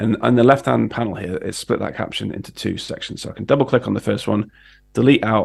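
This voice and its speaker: This man talks with a British accent. He moves along fairly quickly. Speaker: design educator. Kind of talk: tutorial. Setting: livestream.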